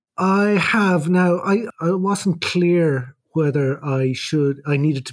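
A man with an Irish accent speaks with ordinary pitch variation. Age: 50s. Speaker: emergency doctor with Parkinson's. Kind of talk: casual chat. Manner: halting.

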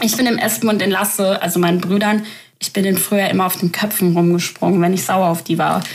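Against noticeable background noise, a woman with a medium-pitched voice talks at a very fast pace in a monotone, flat delivery at very even loudness. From Germany. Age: 20s. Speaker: podcaster. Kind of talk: casual monologue.

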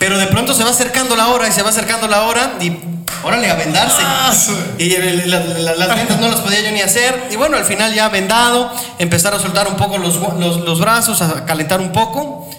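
A man's raised, projected voice, high-pitched with ordinary pitch variation and very even loudness, at a fairly quick pace, with audible room echo and noticeable background noise. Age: 30s. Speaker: boxing radio host. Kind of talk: casual chat.

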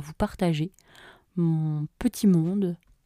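A woman speaks at a medium pitch in a dark, mellow tone with ordinary pitch variation. The sound is dry and close with no echo, on a very clean recording with a silent background. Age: 20s. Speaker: podcaster and YouTuber. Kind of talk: casual solo monologue. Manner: hesitant with many fillers.

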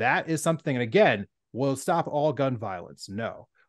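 Lively intonation from a man at a fairly high pitch, a plain, everyday voice, moderate pace, quiet background. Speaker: podcast co-host. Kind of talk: casual political discussion.

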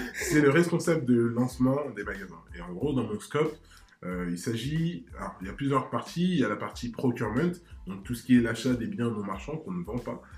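An unremarkable speaking voice, this man's medium pitch carries lively intonation and big swings in loudness at a moderate pace. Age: 20s. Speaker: startup manager. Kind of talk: casual interview.

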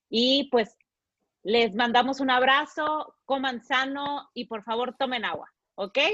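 The speaker has a bright, sharp tone and talks at a very slow pace. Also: woman, high pitch for a woman, ordinary pitch variation. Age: 30s. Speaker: podcast host. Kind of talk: casual chat.

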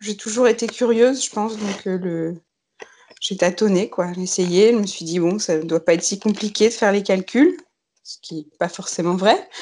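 A woman with a medium pitch talks fairly slowly, her loudness swinging widely while her pitch varies in an ordinary way. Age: 30s. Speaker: knitwear designer. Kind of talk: casual chat. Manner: halting.

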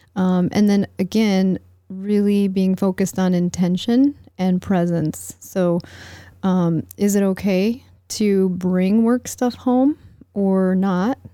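Speaking at a very slow pace, a woman with an American accent has a medium pitch and a dark, mellow tone. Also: ordinary pitch variation, very even loudness, very clean recording, silent background. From United States. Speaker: relational psychology coach. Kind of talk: casual interview.

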